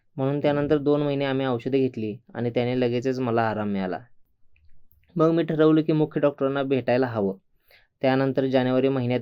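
With fairly even intonation and a medium pitch, the man talks in a normal speaking voice. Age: 60s. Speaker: patient. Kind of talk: testimony.

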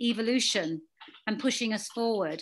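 A woman with a British accent and lively intonation. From England. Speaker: afterlife and spirituality author; guest. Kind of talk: guest talk to a support group. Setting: video call. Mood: warm, earnest. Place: home room. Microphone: video call.

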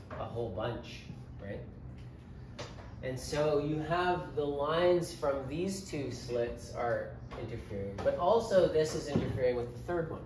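Noticeable background noise is present throughout. A man speaks very slowly over it. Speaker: physics teacher. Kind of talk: lecture. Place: classroom.

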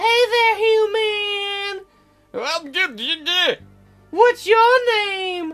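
Faint music plays behind a woman doing a put-on character voice that is squeaky and extremely high in pitch.

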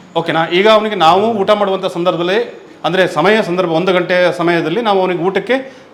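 A man talks at a high pitch with fairly even intonation and very even loudness. Noticeable background noise sits behind him. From coastal Karnataka roots (Mangalore side), raised in Theerthahalli, Shivamogga. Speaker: temple priest. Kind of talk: interview. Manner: halting.

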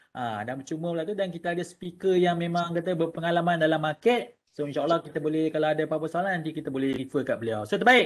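A man with a Malaysian accent, very fast and with hardly any pauses. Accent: Malaysian Malay. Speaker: webinar host. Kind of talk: casual webinar hosting. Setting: online webinar. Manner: casual, chatty. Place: home room. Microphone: webcam.

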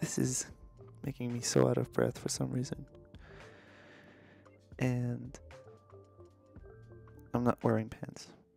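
Faint music plays behind a man whose voice sounds dry, with no echo. He speaks at a fairly slow pace, leaving long, frequent pauses. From Canada, Montreal. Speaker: vlogger. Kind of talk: casual talk to camera, vlog. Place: home room. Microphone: studio mic.

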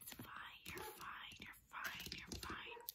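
This woman is whispering. She talks at a fairly slow pace. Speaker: ASMR creator. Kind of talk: ASMR eating video talk. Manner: whispered. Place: home room. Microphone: phone near.

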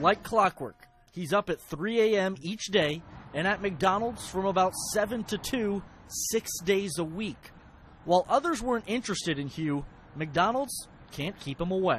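This man's voice is high-pitched, with lively intonation. He talks at a moderate pace. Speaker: TV news reporter. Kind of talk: TV news package narration.

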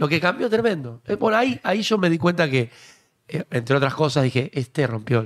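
Against a quiet background, a man with a Rioplatense accent speaks with very wide pitch swings. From Argentina. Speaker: political talk show host. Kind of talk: casual chat. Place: studio. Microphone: studio mic.

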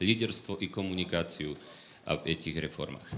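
With light background noise, a man speaks at a moderate pace in a bright, sharp tone and fairly even intonation. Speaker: economic reform expert; panel discussion expert. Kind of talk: panel discussion. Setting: stage with audience. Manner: halting. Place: hall. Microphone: handheld.

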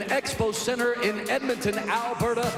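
A man at an extremely high pitch, fairly even in intonation and moderate in pace, with audible room echo and clear music in the background. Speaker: ring announcer. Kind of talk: live MMA cage announcing. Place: stadium. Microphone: handheld.

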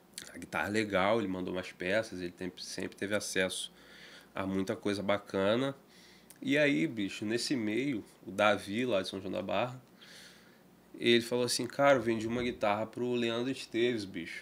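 A man talks in a medium pitch for his voice, keeping a moderate pace and ordinary pitch variation. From Brazil, Campos (Rio de Janeiro state); Rio de Janeiro state, Brazil. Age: 20s. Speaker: guitar maker; podcast guest. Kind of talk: casual interview chat. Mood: relaxed storytelling. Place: studio. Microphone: studio mic.

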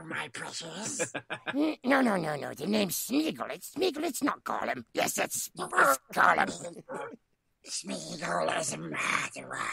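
A raspy, put-on character voice at a fairly slow pace. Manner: obsessive, hissing.

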